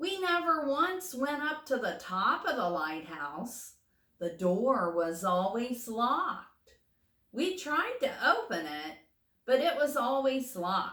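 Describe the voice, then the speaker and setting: Using a put-on character voice, a woman speaks high in pitch at a fairly slow pace, her pitch swinging very widely. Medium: read story. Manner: soft, reflective.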